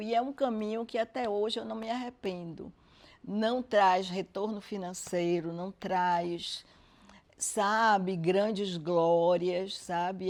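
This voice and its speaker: The background stays quiet. A woman talks at a very slow pace, her pitch varying in an ordinary way. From Brazil, Salvador, Bahia. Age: 70s. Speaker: social scientist. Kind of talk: interview.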